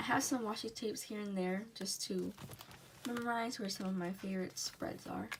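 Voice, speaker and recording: Noticeable background noise sits behind the recording. A woman speaks at medium pitch and a moderate pace. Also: ordinary pitch variation. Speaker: K-pop journaling YouTuber. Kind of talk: casual flip-through tutorial.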